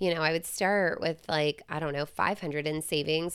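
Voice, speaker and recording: With an American accent, a woman talks fairly quickly in a normal speaking voice at a fairly low pitch, on a very clean recording with a silent background. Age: 40s. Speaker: podcast host. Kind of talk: solo advice monologue. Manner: casual, chatty with fillers.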